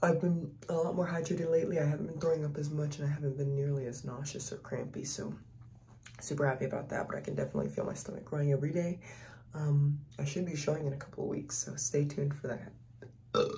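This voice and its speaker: Light background noise runs under a woman speaking at a very fast pace, her pitch very deep and low and her intonation fairly even. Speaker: family vlogger. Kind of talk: casual vlog chat. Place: bathroom. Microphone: phone near.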